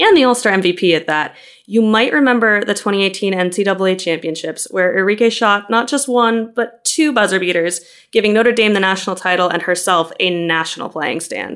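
With an American accent, a woman speaks in a plain, everyday voice at medium pitch, moderate pace and ordinary pitch variation. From US Midwest, Chicago. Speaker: podcast host, trade journalist. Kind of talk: interview.

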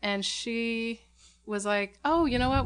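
A woman with an American accent, a fairly high pitch, ordinary pitch variation and a moderate pace. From Portland, Oregon (Southwest Portland). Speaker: puppet fabricator. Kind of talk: casual chat. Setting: home.

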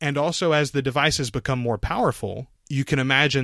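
Bright and sharp in tone, a man talks at a fairly quick pace. The sound is dry and close with no echo, on a very clean recording with a silent background. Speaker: podcast producer. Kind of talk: casual interview.

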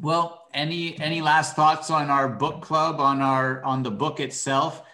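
Audible room echo accompanies a man speaking very slowly at a fairly high pitch with fairly even intonation. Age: 20s. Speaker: podcast co-host in book discussion. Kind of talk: casual chat.

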